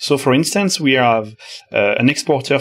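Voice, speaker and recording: A man is speaking. He has a French accent. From France. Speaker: software developer, author of a 3D web engine. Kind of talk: technical interview.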